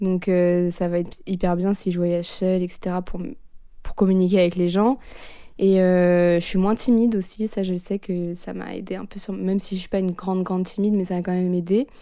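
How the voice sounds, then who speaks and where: Her tone dark and mellow, a woman speaks at a medium pitch and a fairly quick pace with monotone, flat intonation. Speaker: former exchange student. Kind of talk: interview. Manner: casual, fast.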